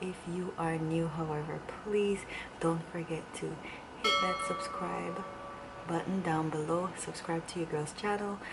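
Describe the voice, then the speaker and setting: With music in the background and audible room echo, a woman speaks fairly slowly with fairly even intonation. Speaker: beauty and lifestyle vlogger. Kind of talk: casual vlog. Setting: at home, indoors. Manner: whispering.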